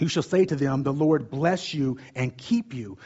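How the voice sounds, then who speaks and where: The speaker is a man with a fairly high voice. His pitch varies in an ordinary way. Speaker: preacher. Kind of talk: sermon. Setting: stage with audience. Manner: fast talker, loud.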